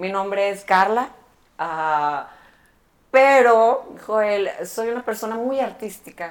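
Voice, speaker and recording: Woman speaking at a very slow pace. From Mexico, Monterrey. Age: 30s. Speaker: barber and educator. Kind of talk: interview. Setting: barbershop.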